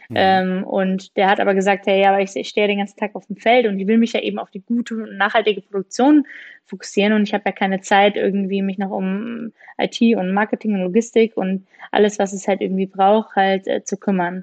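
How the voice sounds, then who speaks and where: A woman's plain, everyday voice at medium pitch, with fairly even intonation and a fairly quick pace. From Rhineland, Germany. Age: 30s. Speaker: startup founder. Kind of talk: interview.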